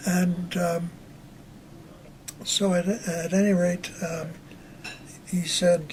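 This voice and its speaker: A man with an American accent talks in a high pitch and a monotone, flat intonation. Background noise is noticeable. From US Northeast, Long Island, New York. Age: 80s+. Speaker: war veteran. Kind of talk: interview. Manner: halting.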